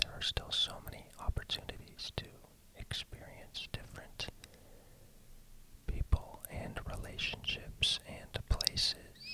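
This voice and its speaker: Through noticeable background noise, a man whispers in a gentle tone at a fairly slow pace, his loudness swinging widely. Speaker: ASMR creator. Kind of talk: ASMR personal questions, whispered talk to listener. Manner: gentle, whispered, soft-spoken.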